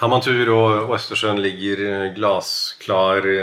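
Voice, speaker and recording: Through noticeable background noise, a man talks at a very slow pace with a fairly low pitch and fairly even intonation. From Norway. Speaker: podcast co-host. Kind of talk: casual chat.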